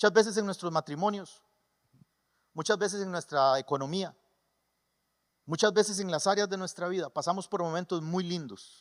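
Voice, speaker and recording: At a moderate pace, a man with a Costa Rican creole accent speaks in an animated tone at a high pitch with ordinary pitch variation and long, frequent pauses, in a very clean recording with a silent background. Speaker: pastor. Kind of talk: sermon. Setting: church.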